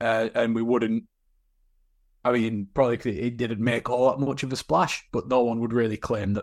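The recording is very clean, with a silent background. A man with an unremarkable speaking voice talks at a medium pitch and a moderate pace. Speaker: podcast co-host. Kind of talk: casual chat.

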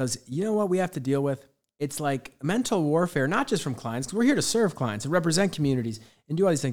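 On a very clean recording with a silent background, a man talks at a very fast pace in a fairly high pitch. His intonation is lively and his tone energetic. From Baltimore. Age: 30s. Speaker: podcast host and real estate agent. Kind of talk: interview.

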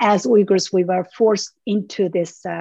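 Vocal fry runs through a woman's dark, mellow tone as she speaks at a fairly slow pace. The sound is dry and close, with no echo. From Urumqi, East Turkestan. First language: Uyghur. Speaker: human rights activist. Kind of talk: interview. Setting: video call.

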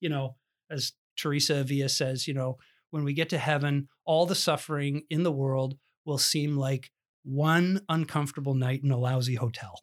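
In a Canadian accent, a man speaks at a moderate pace in a normal speaking voice, fairly high and fairly even in intonation, on a very clean recording with a silent background. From Ontario, Canada. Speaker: pastor. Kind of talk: interview conversation.

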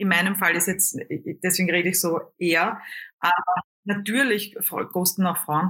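A woman's medium-pitched, bright, sharp voice at a moderate pace, with very even loudness, fairly even intonation, and long, frequent pauses. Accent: Austrian. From Lower Austria. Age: 40s. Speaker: singer, comedian and coach. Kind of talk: interview. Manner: hesitant fillers.

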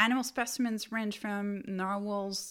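A woman speaks in a normal speaking voice on a very clean recording with a silent background. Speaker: podcast host. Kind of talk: educational podcast lecture, scripted-style. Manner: informal, explanatory, with fillers.

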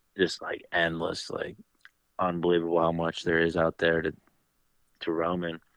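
Speaking at a fairly slow pace with an American accent, a man with a very deep, low pitch comes through dry and close with no echo over a quiet background. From central Pennsylvania. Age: 20s. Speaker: fishing guide and hunter. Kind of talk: casual chat.

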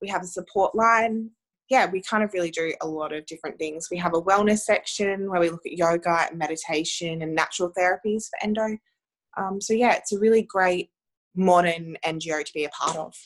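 A woman speaks with an Australian accent. Her pitch is medium and her pace fairly quick. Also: ordinary pitch variation. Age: 20s. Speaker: women's health advocate. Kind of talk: interview.

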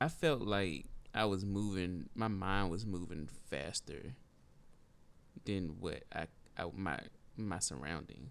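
A man with an American accent speaks very slowly at a very deep, low pitch, using lively intonation, vocal fry and long, frequent pauses. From rural northeastern North Carolina, near Lake Gaston. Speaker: podcast co-host, real estate agent. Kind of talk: casual chat.

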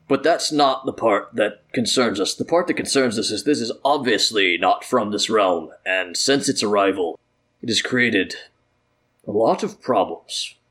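In a put-on character voice, a man speaks at a medium pitch with lively intonation. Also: moderate pace. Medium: actual play. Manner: formal, authoritative.

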